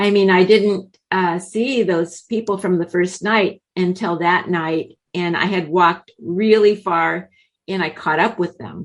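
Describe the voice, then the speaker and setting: Hardly pausing, an unremarkable speaking voice goes at a fairly slow pace with fairly even intonation. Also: woman, medium pitch for a woman. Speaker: author and traveler. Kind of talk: interview.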